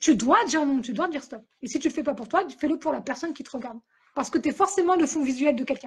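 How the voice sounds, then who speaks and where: Very fast and lively in intonation, a woman speaks at a high pitch. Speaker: author and podcaster. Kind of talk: interview. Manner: loud; animated.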